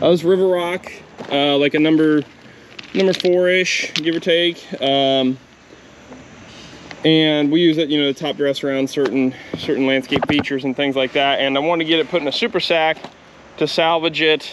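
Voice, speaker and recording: At a moderate pace and with fairly even intonation, a man speaks with long, frequent pauses, the sound dry with no echo and light background noise behind him. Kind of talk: casual vlog chat. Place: street. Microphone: phone near.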